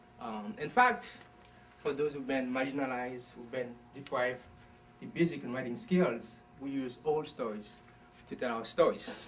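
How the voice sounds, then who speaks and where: Noticeable background noise surrounds a man speaking at a moderate pace. His pitch is medium, with ordinary variation. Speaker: author. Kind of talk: book talk. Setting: bookstore event without microphone. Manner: loud.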